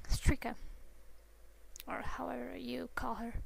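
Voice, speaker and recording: A non-native accent at a fairly slow pace. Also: woman. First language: not English. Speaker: drawing tutorial maker. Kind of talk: tutorial. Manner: halting. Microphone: poor sound quality.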